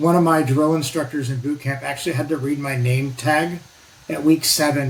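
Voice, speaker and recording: Over noticeable background noise, a man with a Pacific Northwest accent talks at a fairly quick pace, his fairly high voice held to fairly even intonation. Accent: American, Pacific Northwest. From US Pacific Northwest, northwest Oregon. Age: 60s. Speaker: navy veteran and nuclear energy advocate. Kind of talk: casual interview. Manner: talkative, loose chatty delivery.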